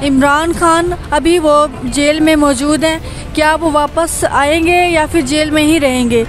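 A woman's high voice in a dry sound with no echo, with music in the background. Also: fairly even intonation. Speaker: street interview host. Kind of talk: street interview questions. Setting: outdoors. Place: market. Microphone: handheld.

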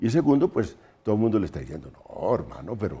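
Speaking very fast, a man with a fairly low pitch has a dark, mellow tone and vocal fry. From Colombia. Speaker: political analyst. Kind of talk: panel discussion. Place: studio. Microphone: lapel.

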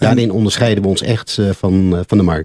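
Over a quiet background, a man speaks at a moderate pace with a fairly low pitch, a dark, mellow tone and ordinary pitch variation, the sound dry with no echo. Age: 60s. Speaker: former sales director, business consultant; former sales director. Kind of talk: radio interview. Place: studio. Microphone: studio mic.

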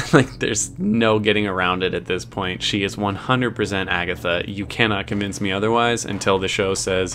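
A man's fairly low voice at a moderate pace, with ordinary pitch variation, hardly any pauses and light background noise. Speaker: reaction video host. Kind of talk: review commentary. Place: home room. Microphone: studio mic.

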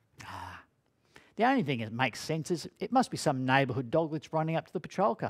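The setting is quiet. A man does the talking. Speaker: speaker. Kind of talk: dramatic storytelling talk. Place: studio.

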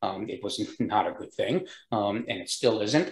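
An American accent with audible room echo. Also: man. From US Northeast, New York State. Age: 70s. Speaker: entrepreneur; guest. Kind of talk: interview. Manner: uses many filler words. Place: home room. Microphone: video call.

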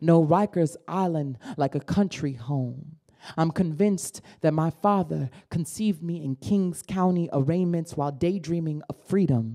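A woman with an American accent speaks at a fairly slow pace, her fairly low pitch showing ordinary variation. Her tone is dark and mellow over a quiet background. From Brooklyn, New York; New York. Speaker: spoken word poet. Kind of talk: poetry performance. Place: hall. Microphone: handheld.

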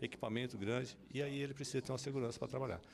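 This is a man speaking. There is light background noise behind him. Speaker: public security official. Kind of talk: news interview. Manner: halting. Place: office. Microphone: handheld.

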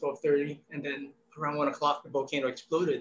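Light background noise sits behind a man whose voice has a fairly high pitch. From Philippines. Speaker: painter; guest. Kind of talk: artist interview. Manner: hesitant with fillers. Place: home room. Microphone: video call.

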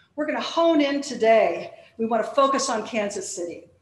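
Audible room echo follows a woman as she speaks. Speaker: panel host introducing speakers. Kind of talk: formal introduction speech. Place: stage. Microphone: podium.

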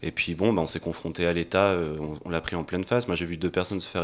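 A man with a very deep, low pitch races along at a very fast pace, keeping his intonation fairly even. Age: 30s. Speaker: political activist; panelist. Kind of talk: panel discussion. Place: hall. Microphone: handheld.

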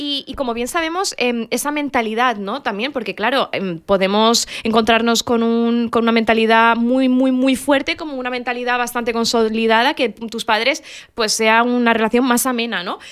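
A woman speaks in a fairly high pitch with ordinary pitch variation. Her pace is moderate, with hardly any pauses. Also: quiet background. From Morocco (Casablanca), Rif family. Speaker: podcast co-host. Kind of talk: casual chat. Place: studio. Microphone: studio mic.

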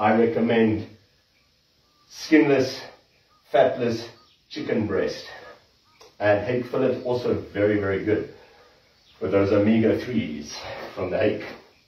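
A man at a fairly slow pace with ordinary pitch variation, long, frequent pauses and audible room echo. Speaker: trainer. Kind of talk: workout tutorial to live stream viewers. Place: gym. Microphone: camera far.

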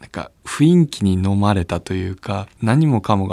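An unremarkable speaking voice moves at a moderate pace with lively intonation in a very clean recording with a silent background. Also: man. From Japan, Chiba (Abiko). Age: 30s. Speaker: wheelchair rugby player. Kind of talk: interview testimony.

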